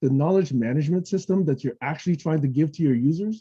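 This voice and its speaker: A somewhat breathy man with a dark, mellow tone, fairly high pitch and lively intonation. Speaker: technology evangelist presenting a webinar. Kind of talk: webinar presentation with Q&A. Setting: online webinar. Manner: fast; casual, conversational with frequent okay.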